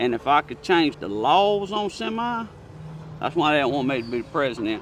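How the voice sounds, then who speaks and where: Amid noticeable background noise, a man with a rural Southern US accent talks at a moderate pace with a fairly high pitch and very wide pitch swings. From Alabama. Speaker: truck driver. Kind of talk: interview answer. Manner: casual, opinionated.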